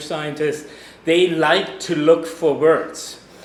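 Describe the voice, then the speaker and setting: Amid noticeable background noise and audible room echo, a man with a German accent speaks at a fairly slow pace in a fairly high voice. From Germany. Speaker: geologist. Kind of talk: lecture. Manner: loud.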